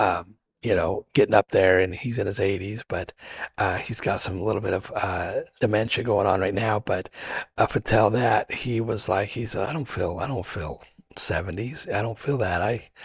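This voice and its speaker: A somewhat breathy man, fairly low in pitch, at a moderate pace with ordinary pitch variation. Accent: American. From Idaho, US. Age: 50s. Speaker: long-distance hiker and adventure biker. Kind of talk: podcast interview. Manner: halting, many repeated words.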